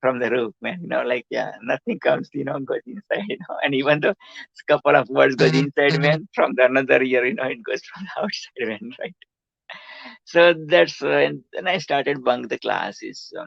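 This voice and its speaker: Loudness swings widely from moment to moment. The pace is moderate. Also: man, dry, close sound with no echo. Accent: Gujarati. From India, Gujarat. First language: Gujarati. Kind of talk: interview, life story. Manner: halting, many fillers.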